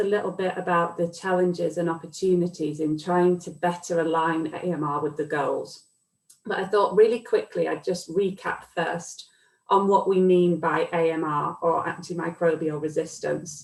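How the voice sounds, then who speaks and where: A woman with a British accent, fairly even intonation and a moderate pace. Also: fairly low pitch for a woman. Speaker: academic researcher. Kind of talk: lecture. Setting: video call.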